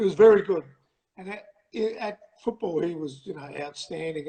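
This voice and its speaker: In an Australian accent, a man talks with ordinary pitch variation. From Australia, Adelaide. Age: 60s. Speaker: pilot and panel beater, fan guest. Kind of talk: casual interview chat. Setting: livestream call. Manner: halting, many fillers.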